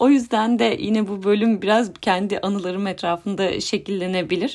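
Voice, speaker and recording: A woman at a moderate pace on a very clean recording with a silent background. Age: 30s. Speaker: podcast host, psychologist. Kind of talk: solo podcast monologue. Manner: hesitant, with filler sounds.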